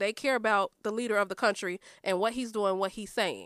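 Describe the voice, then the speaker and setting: In a plain, everyday voice with an American accent, a woman speaks at a fairly high pitch and a moderate pace, the sound dry and close with no echo on a very clean recording with a silent background. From Chicago south suburbs (Chicago Heights). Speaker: podcast guest. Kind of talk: casual chat.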